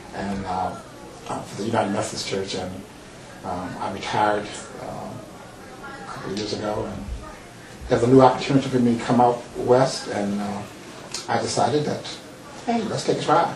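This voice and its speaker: Amid noticeable background noise and audible room echo, a man with a fairly low pitch talks at a moderate pace, with long, frequent pauses and big swings in loudness. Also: ordinary pitch variation. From Mississippi and Chicago. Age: old. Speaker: psychologist and retired pastor. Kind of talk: talk show interview. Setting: TV studio. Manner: halting, many fillers.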